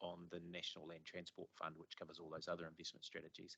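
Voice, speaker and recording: Here a man speaks with a New Zealand accent. The sound is dry and close, with no echo. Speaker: transport agency official. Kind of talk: committee meeting presentation.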